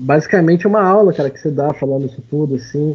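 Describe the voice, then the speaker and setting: This man's voice is somewhat breathy. His pitch sits fairly high. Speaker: podcast host. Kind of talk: casual chat.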